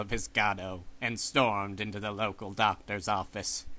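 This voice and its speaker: A man puts on a character voice with a fairly low pitch. The recording is very clean, with a silent background. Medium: machinima.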